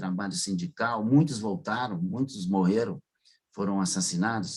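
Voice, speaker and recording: This man speaks at a medium pitch. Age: 70s. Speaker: retired doctor, author and former activist. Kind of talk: radio interview. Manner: halting, with many repetitions.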